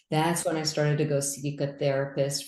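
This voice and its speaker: Very deep, low female voice with a dark, mellow tone and audible room echo. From US, raised in Indian immigrant family. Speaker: physician and business coach. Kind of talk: interview. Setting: video call.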